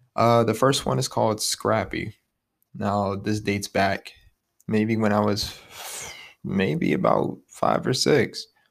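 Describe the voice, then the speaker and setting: Using an American accent, a man with a fairly low pitch and vocal fry talks at a very slow pace with long, frequent pauses and lively intonation, on a very clean recording with a silent background. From Ohio, Youngstown. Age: 20s. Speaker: podcast host. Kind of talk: casual monologue.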